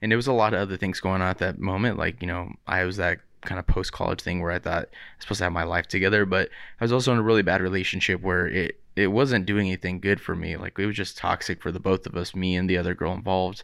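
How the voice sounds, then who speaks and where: A man with an American accent and a very deep, low pitch talks very fast with fairly even intonation in a very clean recording with a silent background. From Southern California (Riverside). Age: 30s. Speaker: podcast co-host. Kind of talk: casual chat.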